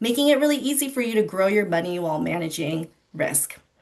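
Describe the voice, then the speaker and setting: A woman talks in an unremarkable speaking voice at a fairly high pitch. She moves at a fairly quick pace with lively intonation. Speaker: financial educator presenter. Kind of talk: online financial literacy presentation.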